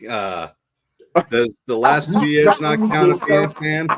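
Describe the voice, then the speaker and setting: In a Boston accent, a man speaks at a fairly slow pace. His fairly high pitch moves with lively intonation. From Boston area, Massachusetts. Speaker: Marine veteran and podcaster. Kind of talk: casual interview chat.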